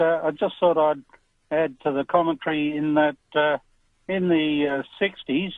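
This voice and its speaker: A man with an Australian accent speaks at a moderate pace in a fairly high voice, his intonation fairly even. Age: 60s. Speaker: caller. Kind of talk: talkback radio call.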